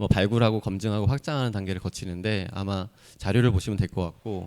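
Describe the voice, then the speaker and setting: A man talks at a fairly quick pace. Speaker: accelerator investment team lead. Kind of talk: conference talk. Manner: fast.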